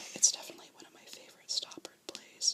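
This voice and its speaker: Someone whispers in a calm tone with noticeable background noise behind them. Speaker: ASMR creator. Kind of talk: ASMR whispered ramble about theatre. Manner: whispered, soft-spoken, calm.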